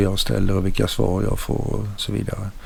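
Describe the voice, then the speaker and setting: Audible echo from the room hangs around a man's speaking voice. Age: 70s. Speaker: tech YouTuber. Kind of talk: tutorial. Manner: halting.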